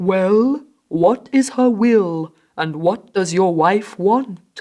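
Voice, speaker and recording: In a put-on character voice that sounds female, the speaker holds a middle pitch and moves at a very slow pace. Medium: read story.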